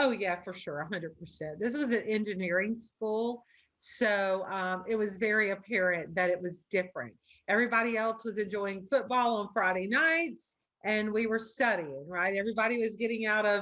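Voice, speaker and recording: In a Louisiana accent, a woman speaks at a moderate pace and medium pitch, her tone bright and sharp, with ordinary pitch variation. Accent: Louisiana Southern. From US South, Baker, Louisiana. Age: 40s. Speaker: loan officer and business coach. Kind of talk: interview conversation.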